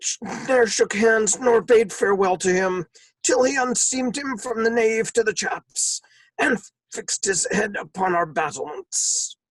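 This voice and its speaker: A put-on character voice with lively intonation at a moderate pace, in a dry, close sound with no echo. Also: man, high pitch for a man. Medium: stage play.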